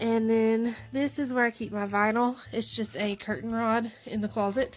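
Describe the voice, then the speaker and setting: With music in the background, a woman with an American accent speaks at a moderate pace in a fairly high pitch with ordinary pitch variation. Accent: country accent, toned down. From US South, southwest Arkansas. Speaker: sewing vlogger, bag maker. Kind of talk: casual vlog, Q&A. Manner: casual with fillers.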